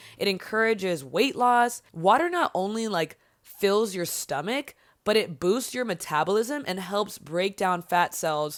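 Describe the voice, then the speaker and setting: In a very clean recording with a silent background, a woman with an unremarkable speaking voice talks at a fairly slow pace, her medium pitch showing ordinary variation. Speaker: podcast host. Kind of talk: casual motivational podcast talk.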